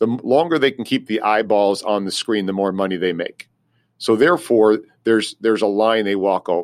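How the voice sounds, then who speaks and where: A man with an ordinary speaking voice talks at a fairly quick pace and fairly low pitch, with ordinary pitch variation. The recording is very clean, with a silent background. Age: 50s. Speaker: career advisor. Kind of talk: interview.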